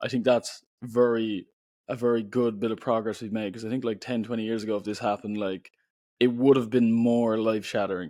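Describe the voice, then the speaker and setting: Speaking at a fairly quick pace in an Irish accent, a man keeps a monotone, flat intonation and a dark, mellow tone on a very clean recording with a silent background. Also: medium pitch for a man. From Ireland. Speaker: poet and author. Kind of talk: podcast interview. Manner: casual, filler-heavy speech.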